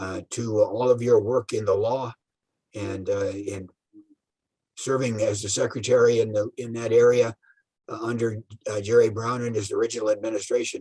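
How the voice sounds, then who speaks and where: A man with a medium-pitched, somewhat breathy voice and a dark, mellow tone speaks in a flat monotone. His pace is moderate, broken by long, frequent pauses. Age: 80s+. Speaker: retired public official, transportation expert. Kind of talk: interview. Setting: video call. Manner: halting, many fillers.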